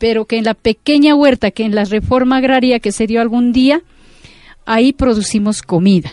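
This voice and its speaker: A woman's fairly high voice at a moderate pace, an ordinary speaking voice, with a dry, close sound and no echo. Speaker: farmers' leader. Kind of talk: interview testimony.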